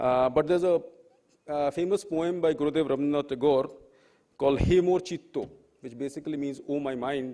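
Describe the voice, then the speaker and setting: With a Bengali accent, a man speaks at a fairly quick pace in a dark, mellow tone, his pitch fairly high. His pitch variation is ordinary, and he leaves long, frequent pauses. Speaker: professor, panel speaker. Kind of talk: panel talk. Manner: halting, many fillers.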